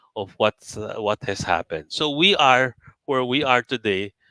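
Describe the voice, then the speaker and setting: With a Filipino accent, a man talks at a moderate pace in a bright, sharp tone with ordinary pitch variation, the sound dry and close with no echo. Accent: Filipino English with Tagalog code-switching. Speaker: company chairman mentoring traders. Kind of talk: live webinar talk.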